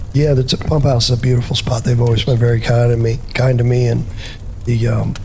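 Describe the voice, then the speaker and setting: With audible room echo and noticeable background noise, a man of medium pitch speaks in a flat monotone at a very even loudness. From Rhode Island. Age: 30s. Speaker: outlaw country musician. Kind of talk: casual chat.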